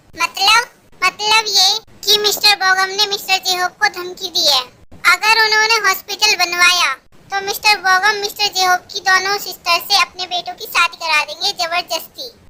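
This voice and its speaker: A woman puts on a playful character voice at an extremely high pitch, moving at a moderate pace. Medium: fan dub. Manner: bossy, playful.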